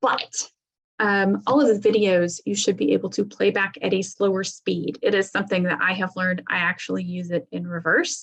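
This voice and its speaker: A woman with an unremarkable speaking voice talks at a moderate pace and a medium pitch. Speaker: software product trainer. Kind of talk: webinar demo tutorial.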